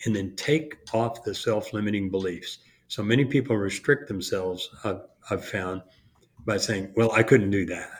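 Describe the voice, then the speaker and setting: Moving at a moderate pace with ordinary pitch variation, the speaker has an unremarkable speaking voice. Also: man, fairly low pitch for a man. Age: 60s. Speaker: contracting business coach. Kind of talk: casual chat.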